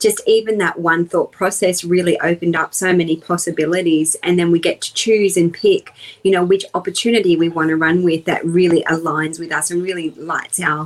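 A woman's fairly low voice in an Australian accent, fairly even in intonation, at a moderate pace with hardly any pauses. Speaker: personal development coach. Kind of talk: interview.

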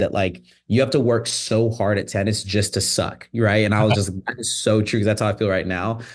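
A man talks in a normal speaking voice with an American accent. His pitch is fairly low. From Phoenix, Arizona. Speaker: tennis content creator. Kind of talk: casual chat.

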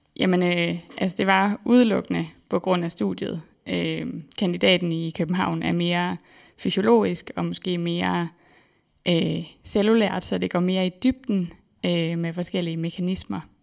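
Speaking at a fairly slow pace, a woman comes through on a very clean recording with a silent background. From Denmark, central Jutland. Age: 20s. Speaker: PhD researcher in exercise physiology. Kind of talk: interview. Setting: studio.

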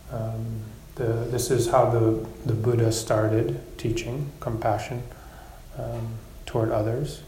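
A man speaks in a calm tone at a very slow pace, with long, frequent pauses. Noticeable background noise is present. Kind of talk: guided meditation. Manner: slow, soft, calm and gently paced with long pauses.

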